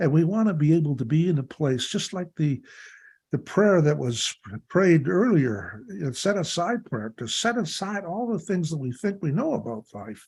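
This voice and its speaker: Here a man speaks at a fairly high pitch with very wide pitch swings in a Canadian accent, on a very clean recording with a silent background. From Canada (Ontario). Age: 70s. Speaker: recovery workshop leader. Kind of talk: workshop talk.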